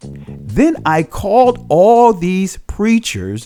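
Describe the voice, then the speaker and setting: A man speaks with music in the background. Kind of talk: documentary narration.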